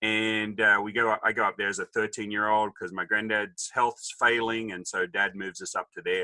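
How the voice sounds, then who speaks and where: A man speaks at medium pitch with an Australian accent and a bright, sharp tone. The sound is dry and close, with no echo. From Australia, Sydney then rural New South Wales. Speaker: businessman. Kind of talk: interview storytelling. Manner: quick, witty quips.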